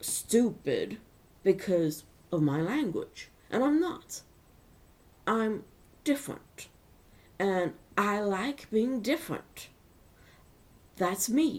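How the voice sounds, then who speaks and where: Her pitch is fairly high and swings very widely. The woman talks at a very slow pace, with long, frequent pauses. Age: 40s. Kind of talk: personal vlog monologue. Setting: webcam recording at home.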